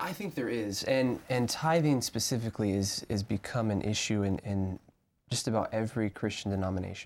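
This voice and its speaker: A plain, everyday voice with an American accent moves at a fairly quick pace. Its pitch varies in an ordinary way. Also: man, medium pitch for a man. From US South, Arkansas. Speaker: seminary student. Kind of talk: Bible study discussion.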